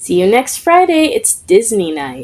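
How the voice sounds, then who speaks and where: A woman's high-pitched, put-on character voice. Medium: read story. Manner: dramatic, excitable.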